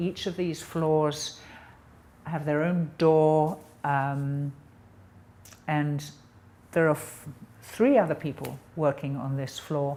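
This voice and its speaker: A woman speaks with an English accent at a very slow pace. Her pitch is very deep and low. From England. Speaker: painter. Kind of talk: interview monologue. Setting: artist's studio. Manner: hesitant, with many ums.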